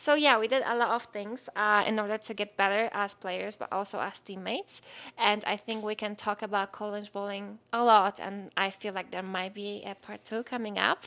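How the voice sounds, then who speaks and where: In a Polish accent, a woman talks at medium pitch and a moderate pace with hardly any pauses. Her tone is bright and sharp, her intonation monotone and flat. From Poland. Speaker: podcast co-host, former college bowler. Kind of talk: casual chat.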